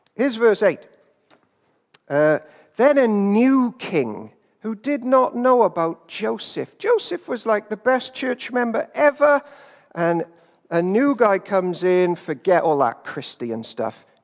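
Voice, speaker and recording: With lively intonation, a man talks at a fairly slow pace. His pitch is high. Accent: British. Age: 30s. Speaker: pastor. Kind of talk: sermon.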